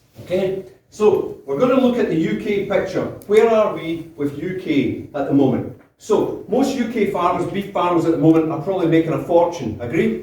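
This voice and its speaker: A high-pitched man with a Scottish accent at a moderate pace, with audible room echo and noticeable background noise. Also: lively intonation. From Scotland, South Lanarkshire (Biggar). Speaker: beef cattle breeding consultant. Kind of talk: conference presentation. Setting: stage with audience. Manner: loud.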